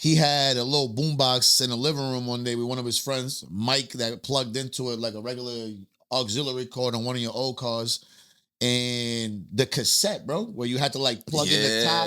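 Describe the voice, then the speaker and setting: The speech runs at a fairly quick pace with a bright, sharp tone. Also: man. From Puerto Rico, then the Bronx from age 13. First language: Spanish. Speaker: rapper. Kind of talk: casual interview chat.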